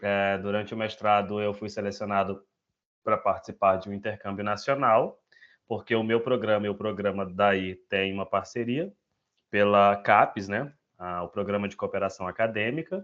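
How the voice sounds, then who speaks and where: Against a quiet background, a man talks at a moderate pace with a fairly low pitch and fairly even intonation. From northern Brazil, Altamira, Pará. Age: 20s. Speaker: education researcher. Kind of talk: self-introduction in an online meeting. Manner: halting, many fillers.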